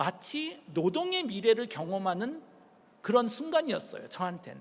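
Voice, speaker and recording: At a fairly slow pace, a man speaks in an extremely high pitch with very wide pitch swings. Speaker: professor. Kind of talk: public lecture.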